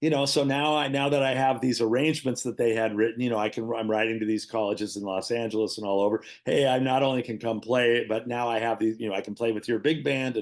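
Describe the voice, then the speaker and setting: The man's pitch is medium and his intonation fairly even. He talks at a very fast pace with hardly any pauses. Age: 60s. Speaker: jazz guitarist and music teacher. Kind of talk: casual interview chat. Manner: halting, many fillers and restarts.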